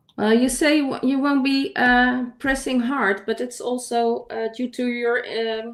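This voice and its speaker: High female voice carrying ordinary pitch variation. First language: not English. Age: 50s. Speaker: digital artist. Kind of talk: casual chat. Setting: livestream. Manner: halting.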